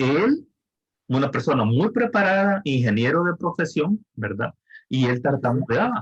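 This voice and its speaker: A man's fairly high, somewhat breathy voice at a fairly slow pace, very wide pitch swings, very even loudness, and a dry, close sound with no echo. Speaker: thesis advisor. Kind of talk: advising session. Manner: slow and deliberate.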